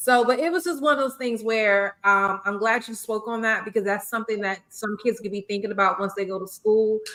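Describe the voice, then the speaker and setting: In a South Carolina accent, a woman talks fairly quickly with hardly any pauses, her fairly high voice bright and sharp in tone with ordinary pitch variation. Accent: Southern US (South Carolina). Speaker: podcast host, former teacher. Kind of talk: casual chat. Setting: live stream podcast.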